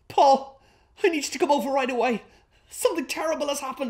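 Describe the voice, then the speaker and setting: Whiny and extremely high-pitched, a man talks very fast with ordinary pitch variation against a quiet background. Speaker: sketch actor. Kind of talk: acted comedy dialogue. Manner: pained, whiny hungover voice. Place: home room.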